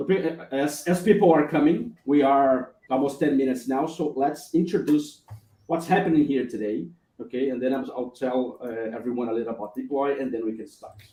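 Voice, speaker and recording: With a Brazilian accent, a man talks at a moderate pace and fairly high pitch, showing ordinary pitch variation and big swings in loudness. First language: Portuguese. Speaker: live stream host. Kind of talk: live stream chat. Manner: halting.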